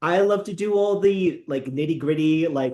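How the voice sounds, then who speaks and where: A man's ordinary speaking voice at a moderate pace, with ordinary pitch variation. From US, Filipino immigrant family. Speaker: friar and baker. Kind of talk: cooking tutorial. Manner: casual with fillers.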